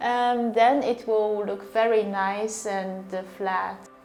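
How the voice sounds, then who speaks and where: Audible room echo surrounds a woman's fairly high voice. Her pitch varies in an ordinary way. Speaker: artist. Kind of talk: interview. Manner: halting, many fillers.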